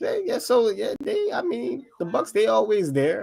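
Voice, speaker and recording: A man at a moderate pace. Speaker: sports stream host. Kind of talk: casual chat. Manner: subdued, low energy.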